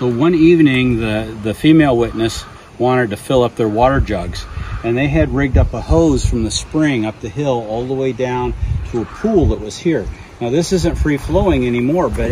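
A man talks at a medium speed while clear background noise plays behind. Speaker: storyteller at encounter site. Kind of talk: on-site storytelling narration. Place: forest. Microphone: camera far.

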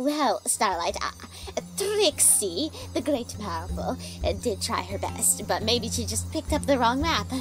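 The speaker uses a put-on character voice. Music plays clearly in the background. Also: moderate pace. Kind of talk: comedy dub. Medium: dub.

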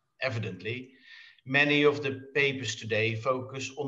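A man speaks with fairly even intonation. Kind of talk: welcome speech. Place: home room. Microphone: video call.

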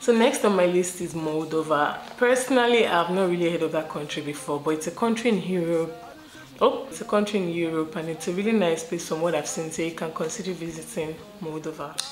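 At a fairly quick pace, a woman talks in a fairly low pitch with ordinary pitch variation. Audible room echo and light background noise surround her. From Nigeria. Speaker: YouTuber; travel vlogger. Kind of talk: casual vlog talk to camera. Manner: chatty, with laughs and fillers.

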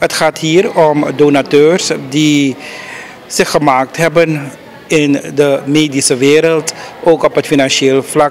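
Over light background noise, a man speaks at a very slow pace in a fairly high pitch. His intonation is monotone and flat, and his loudness stays very even. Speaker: news reporter. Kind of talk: news report. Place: street. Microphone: handheld.

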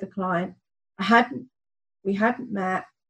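A woman speaks in an English accent at a fairly slow pace. Her pitch varies in an ordinary way. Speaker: podcast host. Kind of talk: casual interview.

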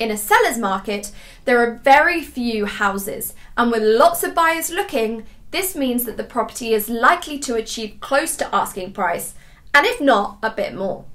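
With very wide pitch swings, a woman talks in a high pitch at a moderate pace. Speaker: property buying company host. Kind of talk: informational talk to camera. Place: home room.

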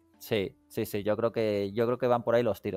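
Music plays in the background as a man with a medium-pitched voice talks at a fairly quick pace, the sound dry and close with no echo. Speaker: podcast host. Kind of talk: casual chat.

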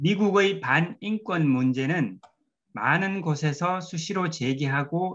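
A man speaks with a bright, sharp tone. His pitch is fairly high and his intonation lively. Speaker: researcher. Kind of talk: panel discussion. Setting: video call.

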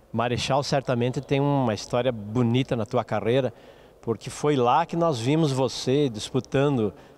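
A man's medium-pitched voice keeps a moderate pace and shows ordinary pitch variation. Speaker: TV sports show host. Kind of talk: TV interview. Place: hall. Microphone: handheld.

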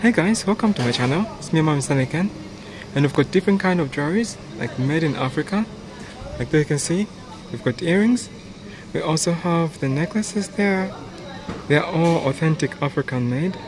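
A man with a high pitch, talking at a fairly quick pace amid noticeable background noise. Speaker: vlogger. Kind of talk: casual vlog chat. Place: shop. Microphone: phone near.

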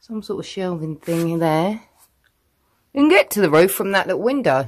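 Long, frequent pauses break up this speech with a British accent. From UK. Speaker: vlogger. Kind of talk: casual vlog narration. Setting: outdoors. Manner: loud.

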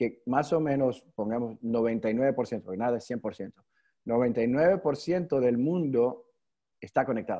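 The man's dark, mellow voice shows ordinary pitch variation, and the background is quiet. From New York, US. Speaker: youth leadership network founder; guest. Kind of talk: online webinar talk. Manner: halting, many repetitions and fillers. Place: home room. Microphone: video call.

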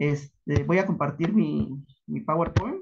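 A fairly high-pitched, somewhat breathy male voice. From Mexico, Michoacán (Paracho); Michoacán, Mexico. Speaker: academic researcher; conference presenter. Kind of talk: conference talk. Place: home room. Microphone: video call.

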